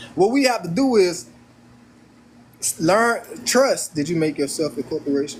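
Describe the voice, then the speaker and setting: A man's high-pitched voice with very wide pitch swings and long, frequent pauses. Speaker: livestream host discussing law and finance. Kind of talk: live stream chat answering viewers. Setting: live stream on camera. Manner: fast; repetitive, stammering restarts.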